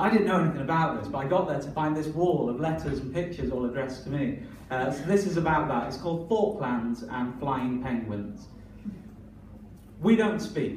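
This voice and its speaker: With a northern English accent, a man speaks at a moderate pace in a fairly high voice with lively intonation, over noticeable background noise and audible room echo. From northern England. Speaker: performance poet. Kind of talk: poetry performance; stand-up style banter. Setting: stage with audience.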